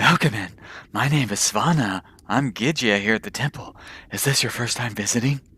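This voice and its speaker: In a put-on character voice, the speaker sounds breathy at a moderate pace with ordinary pitch variation, in a very clean recording with a silent background. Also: man, medium pitch for a man. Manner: polite, welcoming.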